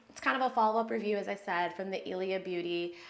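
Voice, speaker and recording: Audible room echo surrounds a woman whose medium-pitched voice has a bright, sharp tone. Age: 30s. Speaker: beauty vlogger. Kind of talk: get ready with me tutorial. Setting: home bathroom. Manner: fast; casual chatty.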